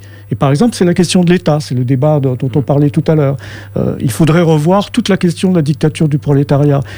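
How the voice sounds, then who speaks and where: A man with a fairly high voice talks at a very fast pace with lively intonation, with noticeable background noise behind him. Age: 60s. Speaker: activist. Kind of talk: radio interview.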